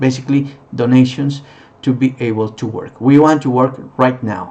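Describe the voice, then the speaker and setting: At a moderate pace and medium pitch, a man with a non-native accent speaks with fairly even intonation. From Peru. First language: Spanish. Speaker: non-profit founder, former tour guide. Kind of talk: charity appeal. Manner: halting.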